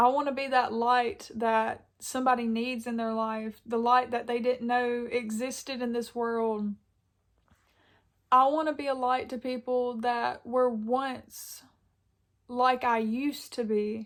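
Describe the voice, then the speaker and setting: At a fairly slow pace, a woman speaks at a high pitch with monotone, flat intonation. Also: very clean recording, silent background. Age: 20s. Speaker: YouTuber, college student. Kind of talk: casual sit-down talk. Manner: occasional stumbling over words.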